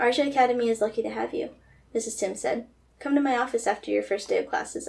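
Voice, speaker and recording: A woman talks at a very fast pace with vocal fry, a fairly high pitch and ordinary pitch variation. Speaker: graduate student novelist. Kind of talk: reading aloud. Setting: video call. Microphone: camera far.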